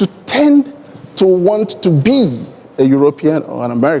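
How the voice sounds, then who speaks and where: A man speaks with a Nigerian accent at a high pitch, his voice swinging very widely. Background noise is noticeable. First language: Igbo. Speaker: airline executive, panelist. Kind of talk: conference panel discussion.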